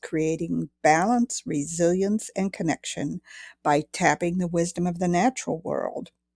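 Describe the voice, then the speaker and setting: Fairly low for a woman and dark and mellow in tone, her voice comes with an American accent at a fairly slow pace, dry and close with no echo, on a very clean recording with a silent background. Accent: Wisconsin accent, stronger at the moment. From northern Wisconsin. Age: middle-aged. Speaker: podcast co-host, wellness practitioner and author. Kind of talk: casual chat.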